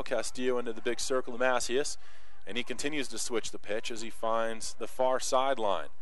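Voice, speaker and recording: Excited and animated, a man talks at a fairly quick pace. The sound is dry with no echo. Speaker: play-by-play sports announcer. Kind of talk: live sports commentary, play-by-play. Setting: press box at a soccer field. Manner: animated, fast-paced, excited.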